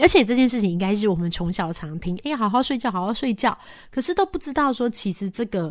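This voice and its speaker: Her voice fairly high, a woman races along at a very fast pace with very wide pitch swings. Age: 40s. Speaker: radio host. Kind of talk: casual chat. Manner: halting.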